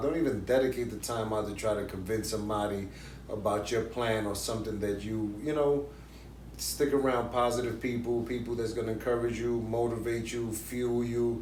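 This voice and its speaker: A medium-pitched man speaks at a fairly quick pace with audible room echo. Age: 40s. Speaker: YouTube interview show host. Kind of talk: casual interview chat. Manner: animated.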